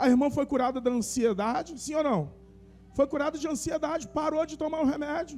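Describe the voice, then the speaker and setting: Music plays in the background as a man speaks at a fairly quick pace, his pitch extremely high with ordinary variation. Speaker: pastor. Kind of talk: sermon. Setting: church service with congregation. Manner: conversational, addresses congregation by name.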